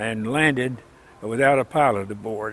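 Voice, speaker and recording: Ordinary pitch variation in a Southern US accent. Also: man. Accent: Southern US (Oklahoma). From Oklahoma. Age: 90s. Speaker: World War II veteran. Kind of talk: life story interview answer. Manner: hesitant, with many filler words.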